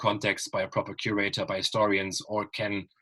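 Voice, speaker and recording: The speaker is a man. He has a German accent. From Germany. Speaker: writer and panel moderator. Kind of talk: online panel discussion. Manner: hesitant, many fillers.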